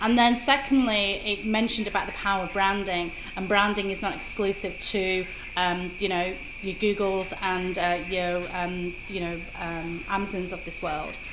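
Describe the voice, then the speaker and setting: A woman's moderately paced speech with a British accent and fairly even intonation, amid noticeable background noise and audible room echo. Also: medium pitch for a woman. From Britain. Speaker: social media marketer. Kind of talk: interview.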